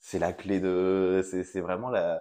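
Very slowly, a man speaks in a very deep, low voice with a dark, mellow tone. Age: 30s. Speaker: school teaching assistant and amateur radio host. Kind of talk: interview. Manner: halting, many repetitions and hesitations.

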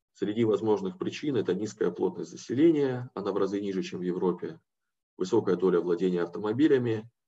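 This voice has a dark, mellow tone and very wide pitch swings. It moves at a fairly quick pace. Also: man. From Siberia, Russia (Novosibirsk). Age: 30s. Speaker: private equity investor, guest lecturer. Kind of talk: lecture.

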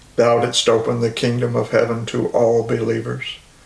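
A man talks at a middling pace with clear background noise behind him. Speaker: Anglican service leader. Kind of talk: liturgical prayer service, read aloud from prayer book. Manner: solemn, reverent, formal.

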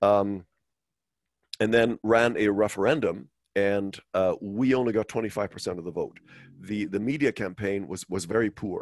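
In a German accent, a man talks at a moderate pace with a fairly low pitch and ordinary pitch variation, the sound dry and close with no echo. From West Germany. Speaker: finance executive and monetary reform advocate. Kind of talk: interview. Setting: video call. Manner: halting, frequent repetitions.

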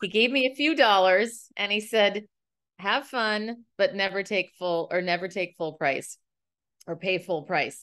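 In an American accent, a woman with a normal speaking voice talks at a medium pitch and a fairly slow pace, her intonation lively against a quiet background. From US Midwest, Minneapolis. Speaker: communication coach and author. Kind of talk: interview. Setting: studio.

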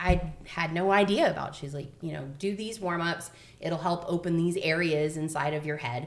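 A woman's fairly low voice with an American accent and ordinary pitch variation, amid noticeable background noise and audible room echo. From Florida. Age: 40s. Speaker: podcast host, theatre mom. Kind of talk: casual chat.

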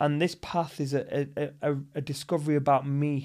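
On a very clean recording with a silent background, a man with a northern English accent speaks with a fairly high pitch. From northern England. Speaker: actor and martial artist. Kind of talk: casual chat. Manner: animated.

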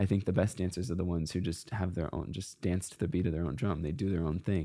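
A man's very deep, low voice with vocal fry and ordinary pitch variation, in an American accent, on a very clean recording with a silent background. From US Pacific Northwest, Seattle. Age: 20s. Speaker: professional dancer. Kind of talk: casual interview.

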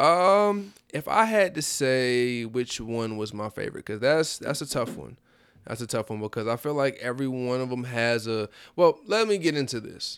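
Medium-pitched and moving at a moderate pace, a man talks with lively intonation in a plain, everyday voice. The recording is very clean, with a silent background. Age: 20s. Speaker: rapper. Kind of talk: casual chat.

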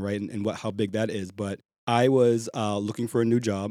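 On a very clean recording with a silent background, a man with a Boston accent speaks in a dark, mellow tone at a fairly low pitch, with monotone, flat intonation. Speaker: crypto recruiter. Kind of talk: interview conversation. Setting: apartment recording.

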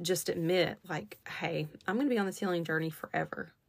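On a very clean recording with a silent background, a woman speaks at a fairly quick pace in a normal speaking voice with a fairly low pitch. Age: 30s. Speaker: podcast host. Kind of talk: casual solo monologue. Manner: many fillers (um, like).

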